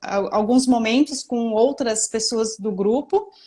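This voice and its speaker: Her pace moderate and her pitch variation ordinary, a woman speaks. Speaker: image consultant and interviewer. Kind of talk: casual interview chat. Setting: Instagram live stream.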